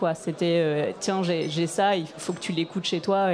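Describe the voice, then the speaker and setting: Over noticeable background noise, a woman with a fairly low pitch talks at a moderate pace in a monotone, flat intonation. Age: 30s. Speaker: radio programmer. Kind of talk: panel discussion. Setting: stage with audience.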